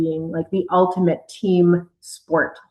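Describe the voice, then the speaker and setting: A woman's medium-pitched voice with a slight Canadian accent. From Canada. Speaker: air force officer and mission control communicator. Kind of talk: interview answers.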